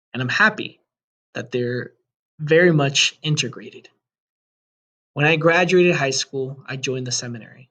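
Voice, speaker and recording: A man with a Spanish accent, fairly high in pitch, with a bright, sharp tone, a moderate pace and ordinary pitch variation. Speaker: high school Spanish teacher. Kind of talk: presentation to parents. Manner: formal.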